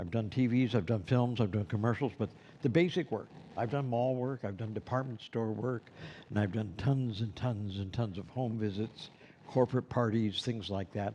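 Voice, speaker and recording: A man with an American accent speaks at a moderate pace in a dark, mellow tone with ordinary pitch variation. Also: medium pitch for a man. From Los Angeles, US. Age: 70s. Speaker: Santa performer and instructor. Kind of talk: lecture. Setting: classroom with live stream.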